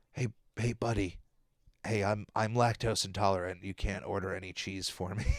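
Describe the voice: Using a put-on character voice, a man speaks in a fairly low, raspy tone at a moderate pace with fairly even intonation.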